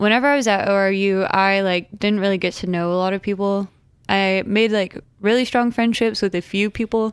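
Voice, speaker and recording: A woman with an American accent at a medium pitch and moderate pace, on a very clean recording with a silent background. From Oklahoma, Tulsa. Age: 20s. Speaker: nursing student. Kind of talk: casual chat. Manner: soft-spoken.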